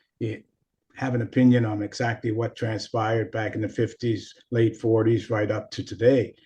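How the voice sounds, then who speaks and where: Somewhat breathy speech at a moderate pace. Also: man. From Nova Scotia, Canada. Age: 70s. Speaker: former hockey player, coach and sports psychologist. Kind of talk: podcast interview.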